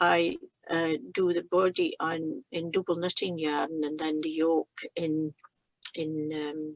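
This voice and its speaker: With monotone, flat intonation, a woman with a fairly low voice speaks very slowly in a dry, close recording with no echo. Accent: Shetland. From Shetland. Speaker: knitter. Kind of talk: conversation.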